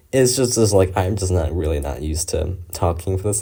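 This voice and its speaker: Somewhat breathy and very deep, the man's dark, mellow tone moves with lively intonation at a fairly quick pace. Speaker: gaming commentator. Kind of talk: casual monologue. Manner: halting; rambling filler-heavy.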